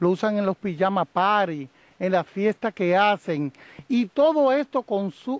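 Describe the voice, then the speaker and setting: The man's pitch is high and his intonation lively. His voice comes through dry, without echo. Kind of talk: press interview statement. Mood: firm, campaigning. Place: open country. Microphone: handheld.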